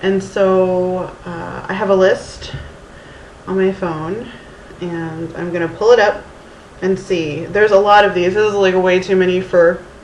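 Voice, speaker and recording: In an American accent, a woman talks at a fairly slow pace and medium pitch with monotone, flat intonation, amid noticeable background noise and audible room echo. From Texas, Houston. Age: 30s. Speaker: vlogger. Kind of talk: casual vlog. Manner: halting, many fillers.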